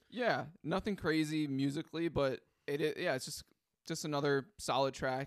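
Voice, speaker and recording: This is a man with a normal speaking voice at a fairly high pitch. He talks at a moderate pace with ordinary pitch variation. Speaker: music podcast co-host. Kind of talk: casual album review chat.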